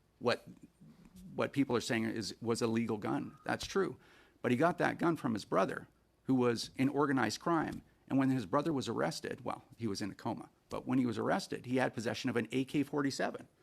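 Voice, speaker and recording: Speaking at a fairly quick pace, a man uses a medium pitch with ordinary pitch variation and vocal fry. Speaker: firearms advocacy witness. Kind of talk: committee testimony. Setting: senate committee hearing. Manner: fast.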